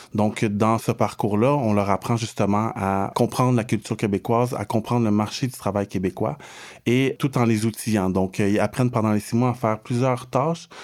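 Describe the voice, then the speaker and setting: In a normal speaking voice, a man of medium pitch speaks at a moderate pace with fairly even intonation and very even loudness on a very clean recording with a silent background. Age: 30s. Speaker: social integration counselor. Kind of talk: interview.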